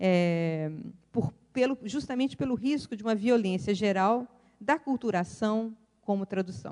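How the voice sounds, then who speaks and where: At a fairly slow pace, a woman talks in a dark, mellow tone at a medium pitch, with lively intonation and very even loudness. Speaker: professor, keynote speaker. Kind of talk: academic lecture.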